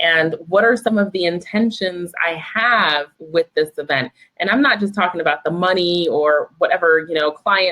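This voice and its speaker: A woman with an American accent has a plain, everyday voice, fairly low in pitch, with ordinary pitch variation. She keeps a moderate pace with very even loudness and hardly any pauses. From Vermont, US. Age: 30s. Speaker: copywriting coach. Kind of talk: interview. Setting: live video stream.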